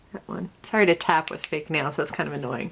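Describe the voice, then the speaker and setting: Noticeable background noise behind a woman's voice with an American accent. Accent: slight southern accent, lately strong. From Connecticut, then US South. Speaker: beauty vlogger. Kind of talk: makeup tutorial vlog. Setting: home video, tripod. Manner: chatty, casual.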